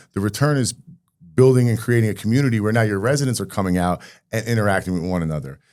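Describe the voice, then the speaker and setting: A man speaks with a New Jersey accent. His intonation is lively and his pace very fast. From Rahway, New Jersey. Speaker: mayor. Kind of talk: interview answer.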